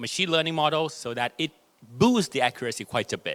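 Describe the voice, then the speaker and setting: A man speaks with a Thai accent in a bright, sharp tone. The recording is very clean and dry, with a silent background and a close sound free of echo. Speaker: AI researcher. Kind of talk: conference talk.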